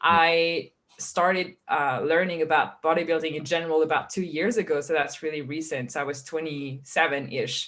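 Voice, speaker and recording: A woman with a very deep, low pitch speaks at a moderate pace, her intonation fairly even and her speech with hardly any pauses. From France. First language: French. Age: 20s. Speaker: fitness coach. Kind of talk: interview.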